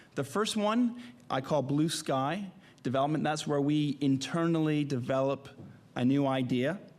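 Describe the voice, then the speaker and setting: Audible room echo surrounds a man who speaks at a moderate pace in a fairly high voice, with very even loudness and ordinary pitch variation. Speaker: media company executive. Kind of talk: conference presentation. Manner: halting, many fillers.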